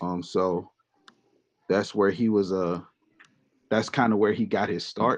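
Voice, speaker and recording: Using a fairly low pitch and an American accent, a man talks at a fairly slow pace with fairly even intonation and long, frequent pauses. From US South, Mississippi. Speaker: music producer. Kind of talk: casual self-introduction.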